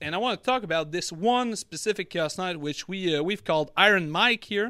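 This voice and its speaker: Raised and projected, the voice has a bright, sharp tone and lively intonation at a moderate pace, captured in a very clean recording with a silent background. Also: man. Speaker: podcast host. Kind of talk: casual chat. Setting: live stream.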